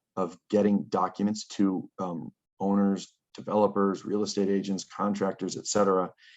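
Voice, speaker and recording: A man's fairly low voice at a moderate pace, monotone and flat, over a quiet background. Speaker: planning consultant presenting GIS projects. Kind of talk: conference presentation. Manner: halting, many fillers.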